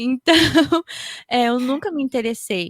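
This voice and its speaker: With a Japanese accent, a woman speaks with lively intonation in a dry, close sound with no echo. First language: Japanese (speaking Portuguese). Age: 30s. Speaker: podcaster. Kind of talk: panel discussion.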